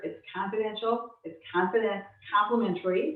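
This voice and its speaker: A woman talks with fairly even intonation. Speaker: estate planning attorney. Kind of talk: webinar presentation. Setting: video call. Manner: fast.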